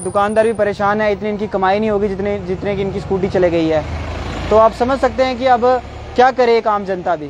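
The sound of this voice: A high-pitched man at a fairly quick pace over faint background noise. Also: ordinary pitch variation.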